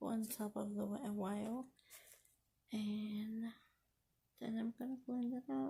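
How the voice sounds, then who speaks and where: This woman's voice is dark, mellow and somewhat breathy, pitched fairly high with ordinary variation. She talks fairly slowly at a very even loudness, with long, frequent pauses. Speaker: beauty vlogger. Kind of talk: makeup tutorial.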